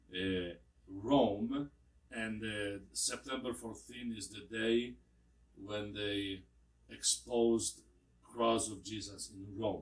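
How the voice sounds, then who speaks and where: A man at a very slow pace with ordinary pitch variation and long, frequent pauses. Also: fairly low pitch for a man, big swings in loudness. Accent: Polish. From Poland. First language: Polish. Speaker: priest. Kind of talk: interview. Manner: halting.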